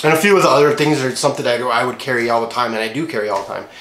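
Audible room echo surrounds a man talking at a very fast pace with ordinary pitch variation. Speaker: gear vlogger. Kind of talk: casual vlog chat. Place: home room.

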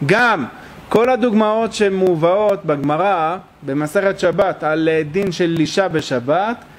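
A man with a high voice speaks fairly slowly, his pitch moving in an ordinary way. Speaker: religious teacher. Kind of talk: lecture. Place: hall. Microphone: podium.

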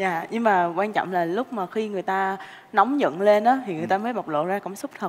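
Speaking very fast with a Southern Vietnamese accent, a woman uses ordinary pitch variation. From Ho Chi Minh City, Vietnam. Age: 20s. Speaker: dating show contestant. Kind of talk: casual chat; conversational answer on a TV show. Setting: studio. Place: studio.

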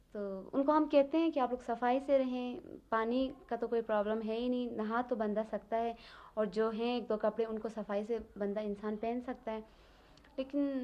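A woman with a fairly high pitch speaks at a moderate pace, her intonation fairly even. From Baltistan, Skardu. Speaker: teacher and student. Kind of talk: interview. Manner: hesitant with fillers.

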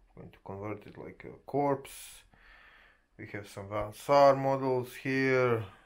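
A man with a non-native accent talks at a very slow pace and a medium pitch, with fairly even intonation. His loudness swings a lot, and the background is quiet. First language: not English. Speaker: gaming and miniature hobby YouTuber; miniature hobby YouTuber. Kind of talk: casual vlog monologue. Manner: halting, frequent filler sounds.

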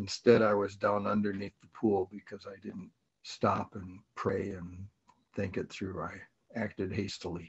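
At a fairly slow pace, a somewhat breathy man with a fairly low pitch speaks in a monotone, flat intonation while his loudness swings widely. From US Midwest (Minnesota). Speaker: speaker. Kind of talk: testimony. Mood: calm, earnest. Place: home room. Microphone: webcam.

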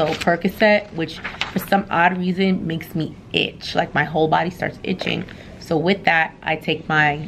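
A woman speaks at a fairly slow pace in a fairly low pitch with fairly even intonation over noticeable background noise. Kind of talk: casual vlog chat. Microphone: phone near.

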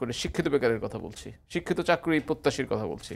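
A man with a normal speaking voice, fairly high in pitch, talks with lively intonation. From Bangladesh. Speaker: professor and former member of parliament; professor. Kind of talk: TV talk show debate. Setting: TV studio. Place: studio. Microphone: lapel.

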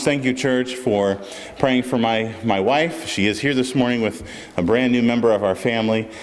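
A man talks at a moderate speed, with a little noise audible in the background. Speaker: pastor. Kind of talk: church announcements and prayer. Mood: warm and grateful. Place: church. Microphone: podium.

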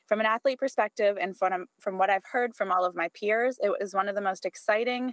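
With a Canadian accent, this voice moves at a fairly quick pace with ordinary pitch variation, over a quiet background in a dry sound with no echo. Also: woman. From Canada, Edmonton, Alberta; Alberta, Canada. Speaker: professional athlete. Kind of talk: public hearing statement. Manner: formal. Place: home room.

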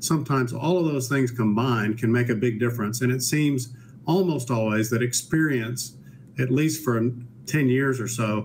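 A man's voice stays very even in loudness and sounds somewhat breathy. Light background noise is present. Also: ordinary pitch variation, moderate pace. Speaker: guest. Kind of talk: interview answer. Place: home room.

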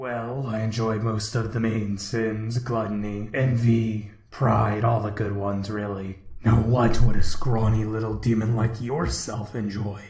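Using a put-on character voice at medium pitch, a man talks at a moderate pace with a slight echo. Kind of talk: dark fantasy villain narration. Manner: grandiose, ominous, theatrical.

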